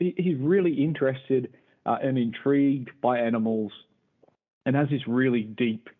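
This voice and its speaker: A man's normal speaking voice, medium in pitch, at a moderate pace with ordinary pitch variation. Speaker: podcast host. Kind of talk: casual chat.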